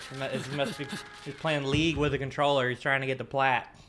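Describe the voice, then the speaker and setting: Through noticeable background noise, a man talks at a fairly quick pace with a fairly high pitch for a man. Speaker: anime reaction youtuber. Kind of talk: casual reaction commentary.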